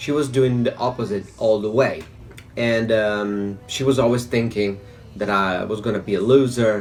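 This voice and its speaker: A man at medium pitch with fairly even intonation and a moderate pace, audible room echo and music in the background. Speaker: vlogger. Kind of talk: personal testimony. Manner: halting.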